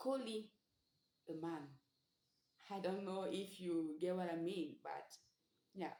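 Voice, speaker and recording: A woman at a very slow pace with long, frequent pauses, a medium pitch, lively intonation, and audible room echo. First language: Sango. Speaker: language teacher. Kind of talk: tutorial.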